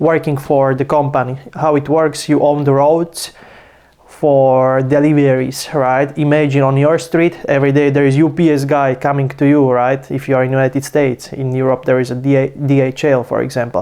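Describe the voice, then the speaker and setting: A man with a non-native accent, fairly high in pitch, at a moderate pace, with very even loudness and monotone, flat intonation. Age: 20s. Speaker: finance youtuber. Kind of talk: casual vlog talk. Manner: casual, some hesitations.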